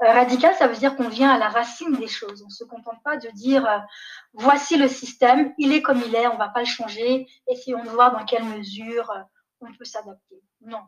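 Her pitch is high, and her pitch variation is ordinary. This woman speaks at a fairly quick pace. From Niger, raised partly in Canada, France, Belgium. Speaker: development executive. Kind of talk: interview. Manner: hesitant, many fillers.

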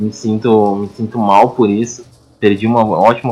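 In a monotone, flat intonation, a man speaks at a fairly low pitch. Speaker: podcast co-host. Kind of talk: casual chat. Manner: quieter than usual.

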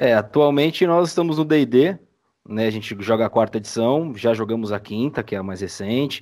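In a normal speaking voice, a man talks at a moderate pace. His pitch is medium and his intonation lively. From Brazil, São Paulo city. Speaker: audio drama editor. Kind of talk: casual chat. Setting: video call.

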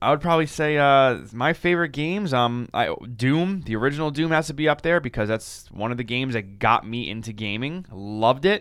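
In a normal speaking voice at medium pitch, a man speaks with lively intonation at a fairly quick pace and hardly any pauses. The recording is very clean, with a silent background. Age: 20s. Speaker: podcast host. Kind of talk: casual chat.

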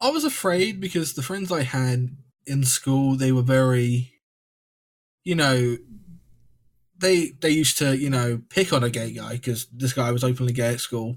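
Pausing long and often, a man with an English accent speaks at a moderate pace and medium pitch, somewhat breathy, with ordinary pitch variation. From England. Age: 20s. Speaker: podcast guest sharing mental health story. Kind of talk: casual chat.

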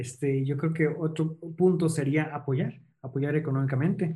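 Fairly slow and flat in intonation, a man talks in a dark, mellow, somewhat breathy voice. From central Mexico, Toluca. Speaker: missionary. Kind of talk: interview.

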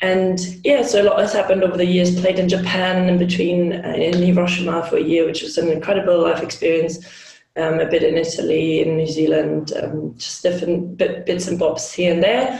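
In a German accent, a woman talks at a fairly quick pace with a fairly low pitch and fairly even intonation, amid audible room echo and noticeable background noise. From Germany, Hamburg. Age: 30s. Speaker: hockey player and team captain. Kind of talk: interview.

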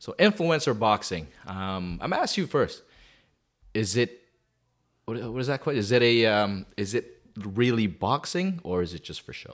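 Speaking at a moderate pace with a Canadian accent, a man at medium pitch makes very wide pitch swings and big swings in loudness. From Calgary, Canada. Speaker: podcast co-host. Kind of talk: casual chat.

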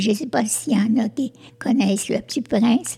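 Noticeable background noise sits behind this woman's voice. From Quebec, Sherbrooke. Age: old. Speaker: community group founder, senior. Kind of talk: casual discussion. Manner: halting, repeats words.

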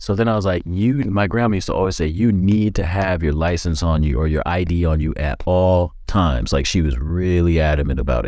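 Very deep and low, a man's dark, mellow voice carries audible room echo. He speaks at a fairly quick pace with hardly any pauses and ordinary pitch variation. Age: 40s. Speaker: podcast host and realtor. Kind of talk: casual chat.

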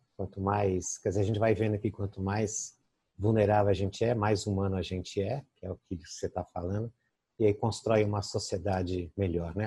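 A man with a fairly low pitch and a dark, mellow tone speaks at a moderate pace, somewhat breathy. The sound is dry and close with no echo, against a quiet background. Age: 60s. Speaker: interview host. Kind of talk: interview. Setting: video call.

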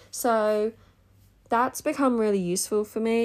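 In an Australian accent, a woman with a fairly high pitch speaks on a very clean recording with a silent background. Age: 30s. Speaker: business coach podcast host. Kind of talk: casual solo podcast monologue. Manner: chatty, laughing.

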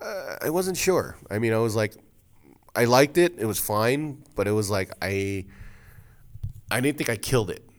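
Speaking with an American accent, a man uses lively intonation at a medium pitch. His pace is moderate, with long, frequent pauses. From New Jersey, Passaic. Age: 30s. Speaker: comedian. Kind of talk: casual chat. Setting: studio.

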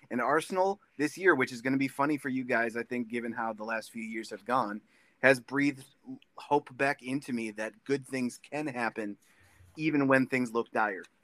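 A man's unremarkable speaking voice at medium pitch and moderate pace, with ordinary pitch variation and a dry, close sound without echo. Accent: American. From US Midwest, Minnesota. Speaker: guest fan.

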